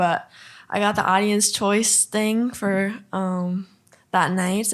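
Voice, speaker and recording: A woman with an American accent speaks at medium pitch with fairly even intonation on a very clean recording with a silent background. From Minnesota, Duluth. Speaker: country singer-songwriter. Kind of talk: podcast interview.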